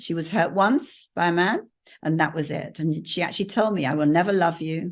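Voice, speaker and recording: Against a quiet background, a woman with an English accent talks at a moderate pace in a fairly low pitch with ordinary pitch variation. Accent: very English. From England. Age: 70s. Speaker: mentor and business coach. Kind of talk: casual conversation with an audience.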